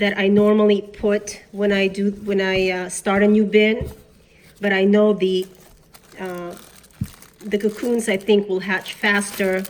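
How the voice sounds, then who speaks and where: Noticeable background noise sits behind a woman of medium pitch who talks at a fairly slow pace in a flat monotone, with long, frequent pauses. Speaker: worm farmer. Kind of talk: casual talk to camera.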